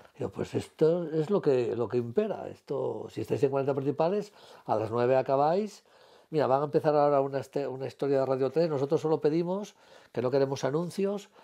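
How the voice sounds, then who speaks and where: The voice has a dark, mellow tone and ordinary pitch variation at a fairly quick pace. The background is quiet. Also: man, fairly high pitch for a man. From Asturias, Spain. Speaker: retired civil servant, former radio presenter. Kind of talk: interview answer. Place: home room. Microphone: lapel.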